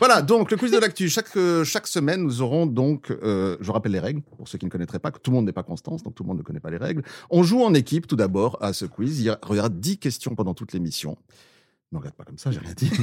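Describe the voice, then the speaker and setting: A man's medium-pitched voice with a slight Swiss French accent, very fast and with very wide pitch swings and vocal fry, dry and close with no echo on a very clean recording against a silent background. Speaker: podcast host. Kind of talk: comedic news panel chat.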